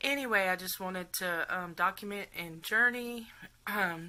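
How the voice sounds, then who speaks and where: A woman with a Texas accent talks at a fairly slow pace, her medium pitch rising and falling in an ordinary way, on a very clean recording with a silent background. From Texas, around Houston. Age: 40s. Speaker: patient documenting surgery. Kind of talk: casual vlog storytelling. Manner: chatty, hesitant with many fillers.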